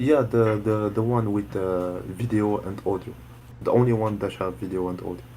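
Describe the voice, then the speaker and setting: Moderate pace, ordinary pitch variation and audible room echo, in a Moroccan accent. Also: man, fairly low pitch for a man. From Morocco. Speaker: student. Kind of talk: online group lesson. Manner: halting, many hesitations.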